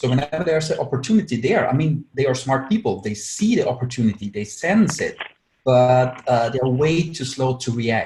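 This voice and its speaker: At a fairly quick pace, a man with an Austrian accent speaks in a somewhat breathy voice at a medium pitch. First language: German. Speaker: agile consultant, webinar speaker. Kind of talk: webinar presentation. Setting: online webinar with screen share. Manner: many filler words.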